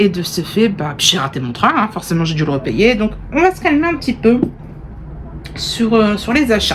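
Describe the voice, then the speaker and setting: A woman speaks at a moderate pace with noticeable background noise around her. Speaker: knitting vlogger. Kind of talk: casual vlog chat. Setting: indoors in a holiday rental.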